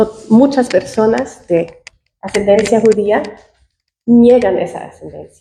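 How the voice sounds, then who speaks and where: A woman with a non-native accent speaks very slowly at a fairly high pitch, her dark, mellow tone carrying ordinary pitch variation between long, frequent pauses. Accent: foreign accent in Spanish. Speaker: audience member. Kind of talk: audience question at academic panel. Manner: halting.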